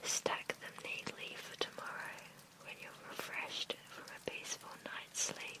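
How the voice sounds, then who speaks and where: Whispered words from a woman, with noticeable noise behind them. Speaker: ASMR meditation guide. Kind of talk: sleep meditation guided relaxation. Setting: studio, gentle rain in background. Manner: whispered, soft-spoken, slow.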